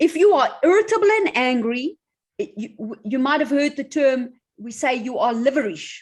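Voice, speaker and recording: A woman talks at a moderate pace and high pitch with very wide pitch swings. Her loudness swings widely too. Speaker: doctor and holistic health practitioner. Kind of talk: online talk answering questions.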